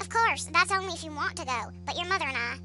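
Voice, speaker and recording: A put-on character voice rattles along at a very fast pace over loud music in the background. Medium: solo performance.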